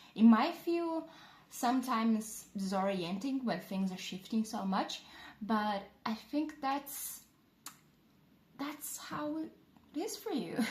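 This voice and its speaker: Very slowly and with long, frequent pauses, a woman with a non-native accent speaks at a fairly high pitch, making very wide pitch swings. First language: not English. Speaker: tarot reader. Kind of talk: tarot reading. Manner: halting; casual.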